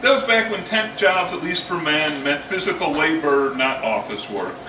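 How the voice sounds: A man at a moderate pace, lively in intonation, with audible room echo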